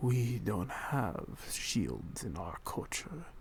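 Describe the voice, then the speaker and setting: In a put-on character voice, a man speaks at a very slow pace and medium pitch, swinging very widely in pitch over clear background noise. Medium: read story.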